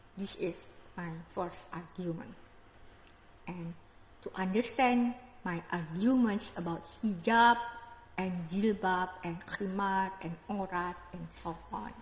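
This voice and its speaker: Speaking very slowly with an Indonesian accent, a woman uses a medium pitch and ordinary pitch variation, leaving long, frequent pauses amid audible room echo. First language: Indonesian regional language, not English. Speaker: religious commentator vlogger. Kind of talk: lecture-style monologue.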